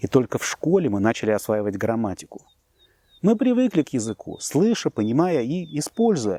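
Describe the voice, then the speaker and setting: Dry, close sound with no echo, a man with a dark, mellow tone, very wide pitch swings, moderate pace, and a very clean recording over a silent background. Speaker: language teacher. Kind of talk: scripted narration. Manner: formal.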